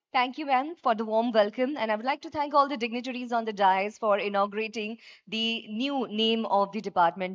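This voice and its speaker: Someone with an Indian accent speaks at a fairly quick pace, with ordinary pitch variation against a quiet background. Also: woman. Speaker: event anchor, master of ceremonies. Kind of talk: live government conference hosting. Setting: PA system, live event hall. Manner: enthusiastic, upbeat. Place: hall. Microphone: podium.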